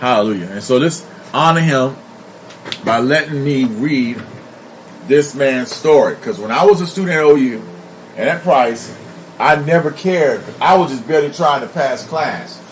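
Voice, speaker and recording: Amid noticeable background noise and audible room echo, a man with a fairly high pitch and lively intonation talks at a moderate pace, with long, frequent pauses. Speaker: pastor. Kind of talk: live stream monologue. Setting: live stream.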